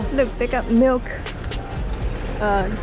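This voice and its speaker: Over clear background music, a woman speaks in a dry sound with no echo. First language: not English. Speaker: travel vlogger. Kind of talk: casual travel vlog narration. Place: street. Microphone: phone near.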